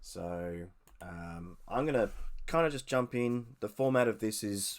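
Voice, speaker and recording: The recording is very clean with a silent background as a man speaks at a fairly slow pace. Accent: Australian. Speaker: podcast host. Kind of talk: casual news commentary podcast. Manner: hesitant, many fillers.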